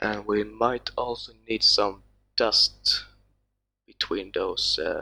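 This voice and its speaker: The speaker is a man with a Swedish accent. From Sweden. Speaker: texture artist. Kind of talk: tutorial. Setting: live stream. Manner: halting.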